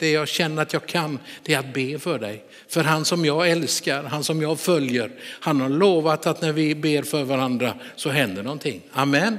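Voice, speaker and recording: A man speaks at a moderate pace with a fairly high pitch, ordinary pitch variation, and a plain, everyday voice. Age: 60s. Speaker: pastor. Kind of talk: sermon.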